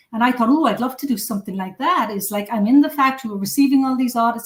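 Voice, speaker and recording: A woman speaks with an Irish accent. Her voice is high-pitched, with ordinary pitch variation. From Cork, southern Ireland. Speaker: food safety consultant. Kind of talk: interview.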